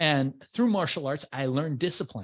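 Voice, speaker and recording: Over a quiet background, a man with a Persian accent speaks in a fairly high voice, his tone animated and his intonation lively. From Iran, immigrated to US as a child. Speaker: entrepreneur and business coach. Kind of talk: interview.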